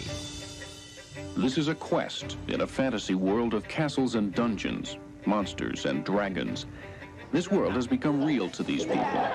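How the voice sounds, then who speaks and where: With music in the background, a man speaks at a very even loudness. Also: medium pitch for a man, lively intonation, fairly slow pace. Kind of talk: TV news report.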